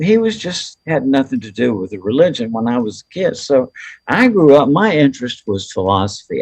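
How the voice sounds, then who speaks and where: A man with an American accent at a medium pitch, very wide pitch swings and a moderate pace, in a dry, close sound with no echo. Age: 70s. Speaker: near-death experience researcher and author. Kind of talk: interview. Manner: halting.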